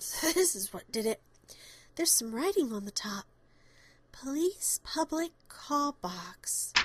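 A female-sounding put-on character voice, high in pitch, moves slowly at a fairly slow pace with very wide pitch swings. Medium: audio drama.

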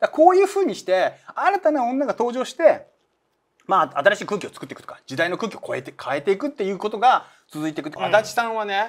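A man speaks very fast in a high voice, with very wide pitch swings and big swings in loudness. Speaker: manga artist and channel host; channel host. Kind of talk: casual chat about manga. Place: studio.

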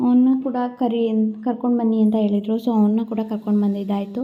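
A woman with a fairly high voice speaks in a fairly even intonation while music plays in the background. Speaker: family vlogger. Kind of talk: vlog voice-over. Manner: loud. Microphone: no external mic, phone recording.

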